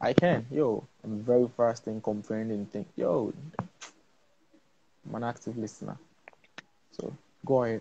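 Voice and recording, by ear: A man with a medium pitch talks at a fairly slow pace, using ordinary pitch variation, a dark, mellow tone, vocal fry, a slightly husky edge, and long, frequent pauses.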